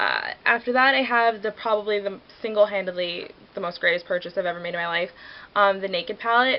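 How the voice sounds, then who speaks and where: A woman speaks at a medium pitch with ordinary pitch variation. Her pace is very fast. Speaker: beauty vlogger. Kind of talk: casual product review. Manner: chatty, filler-heavy.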